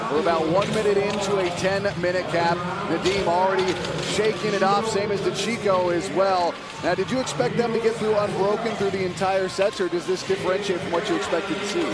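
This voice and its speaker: Over noticeable background noise, a man with a high voice speaks at a fairly quick pace in an energetic tone. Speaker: play-by-play commentator and interviewer. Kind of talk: live sports commentary. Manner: brisk, clear, energetic play-by-play.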